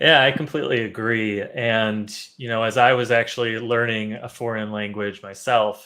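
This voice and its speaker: A man with a Chicago accent talks at a moderate pace, hardly pausing at all. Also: medium pitch for a man, fairly even intonation. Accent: Chicago American English. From US Midwest, Chicago. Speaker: English teacher. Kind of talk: live online class. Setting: live stream.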